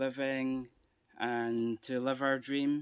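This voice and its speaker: Speaking in an Edinburgh accent, this man has a medium pitch. His pace is very slow. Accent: Scottish (Edinburgh). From Scotland, Edinburgh. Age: 40s. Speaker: gardening vlogger. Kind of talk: casual video tour. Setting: outdoors in garden. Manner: hesitant, many fillers.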